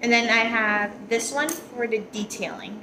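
A woman talks at a fairly slow pace with a fairly high pitch and ordinary pitch variation. Her tone is bright and sharp, and room echo is audible.

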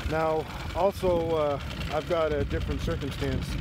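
Loud background noise fills this dry recording, which has no echo. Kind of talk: casual tutorial commentary. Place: boat.

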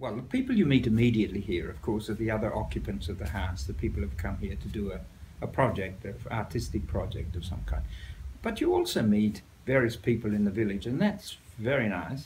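With an Australian accent and vocal fry, the speaker talks at a fairly quick pace with lively intonation over light background noise. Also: man, fairly low pitch for a man. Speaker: writer. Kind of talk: interview answer. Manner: humorous anecdotal storytelling. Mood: amused, storytelling. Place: home room.

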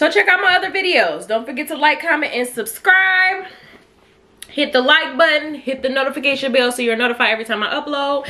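A woman speaks in a raised, projected voice. Her pace is fairly quick and her intonation lively. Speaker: food vlogger. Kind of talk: casual mukbang review chat. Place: home room. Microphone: camera far.

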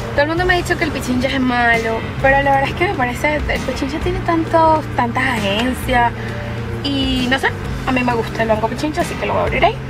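Over clear background music, a woman talks at a very fast pace. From Venezuela. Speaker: vlogger. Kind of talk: casual talk to camera. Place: car. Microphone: phone near.

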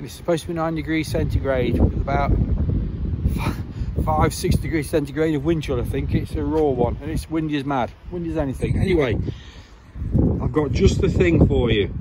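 A man speaks at a fairly quick pace over loud background noise. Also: dry sound with no echo. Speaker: vlogger selling a bike. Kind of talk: casual vlog chat. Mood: cheerful, upbeat. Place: street. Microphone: phone near.

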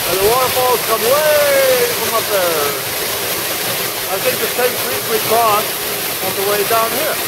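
The speech moves at a fairly slow pace. Loud background noise sits behind it. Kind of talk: casual vlog chat. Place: waterside. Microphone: phone near.

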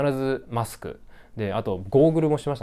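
The man's tone is dark and mellow. He moves at a moderate pace with very wide pitch swings. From Japan. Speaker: graduate student vlogger. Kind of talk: casual vlog monologue. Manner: many fillers, halting. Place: home room. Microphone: lapel.

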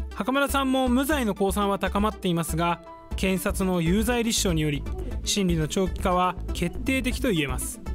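A man speaks at a moderate pace, with clear music playing behind him. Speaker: news reporter. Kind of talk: TV news report. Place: studio. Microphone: lapel.

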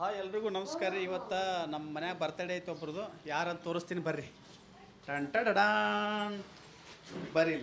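Audible room echo surrounds a man who speaks at a high pitch with lively intonation. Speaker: vlogger. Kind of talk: casual family vlog. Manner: animated.

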